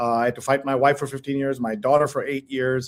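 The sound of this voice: Fairly quick delivery with little movement in pitch. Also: man, medium pitch for a man.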